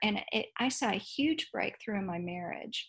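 This voice has an American accent. It sounds somewhat breathy. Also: woman. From Dallas, Texas. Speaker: author and teacher. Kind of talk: interview.

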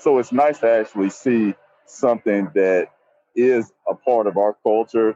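With an American accent, a plain, everyday voice speaks at a fairly slow pace with fairly even intonation. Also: man, medium pitch for a man. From US South, Nashville, Tennessee. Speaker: actor and voiceover actor, veteran. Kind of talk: live on-location report. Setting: outdoors on a city street. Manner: casual, filler-heavy.

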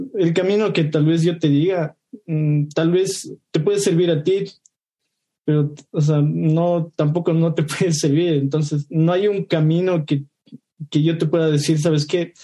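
A man talks fairly slowly in a fairly high voice with a dark, mellow tone. His intonation is fairly even and his loudness very even. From Ecuador. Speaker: junior software developer. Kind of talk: casual discussion.

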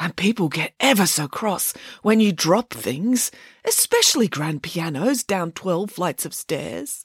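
A woman uses a put-on character voice at a fairly low pitch, husky with a rough edge and big pitch swings. She speaks at a fairly slow pace with few pauses, the sound dry and close with no echo.

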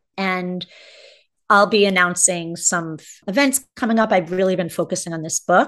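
A woman at medium pitch and moderate pace, an unremarkable speaking voice against a quiet background. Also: ordinary pitch variation, big swings in loudness. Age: 50s. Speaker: spiritual mentor and educational consultant. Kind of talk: interview conversation.

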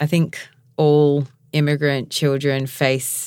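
Very deep, low female speech, very clean recording, silent background. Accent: Australian. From Mount Gambier and Adelaide, South Australia. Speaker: podcast host. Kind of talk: casual interview chat.

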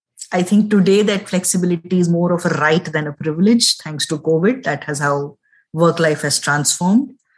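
A woman's fairly low, somewhat breathy voice at a moderate pace, with ordinary pitch variation. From India. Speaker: business consultant and mother. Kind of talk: interview.

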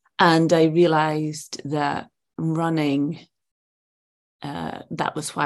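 A woman speaks in a Scottish accent at a very deep, low pitch. Her intonation is flat and monotone against a quiet background. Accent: Scottish, Edinburgh. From Edinburgh, Scotland. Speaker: actress. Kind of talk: casual interview chat.

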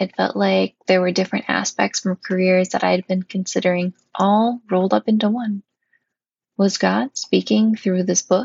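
A woman with an Upper Midwest accent speaks at a moderate pace and a medium pitch. Her voice is somewhat breathy, with fairly even intonation. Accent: Upper Midwest American. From northern Wisconsin, US Upper Midwest. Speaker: podcast host, seminary-trained chaplain candidate. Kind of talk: personal monologue podcast.

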